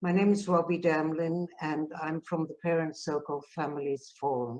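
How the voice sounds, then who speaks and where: Her pitch is very deep and low, her pace moderate, and her intonation fairly even as this woman speaks. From South Africa. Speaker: peace activist. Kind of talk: conference talk.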